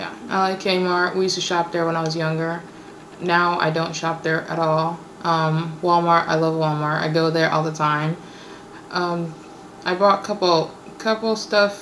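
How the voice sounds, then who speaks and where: A woman speaks at a moderate pace with a fairly low pitch and monotone, flat intonation. Audible room echo and noticeable background noise fill the recording. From born in Kenya, raised in the US. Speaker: vlogger. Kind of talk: casual Q&A vlog. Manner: hesitant, many fillers.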